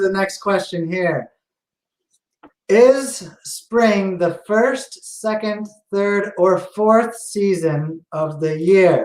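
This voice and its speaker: A man's high-pitched voice with an American accent, at a very slow pace. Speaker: tech talk show host. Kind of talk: casual chat.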